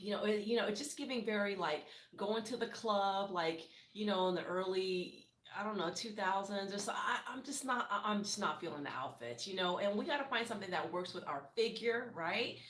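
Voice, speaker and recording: Lively intonation and an animated tone mark this woman's medium-pitched voice. She talks at a fairly quick pace, with audible room echo. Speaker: TV reality show commentator. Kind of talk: casual commentary recap. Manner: fast.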